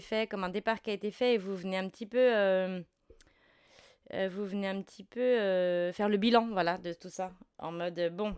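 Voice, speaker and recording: On a very clean recording with a silent background, a woman speaks at a fairly quick pace. Her medium-pitched voice keeps a fairly even intonation. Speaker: tarot reader. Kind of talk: tarot reading. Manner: halting, many fillers.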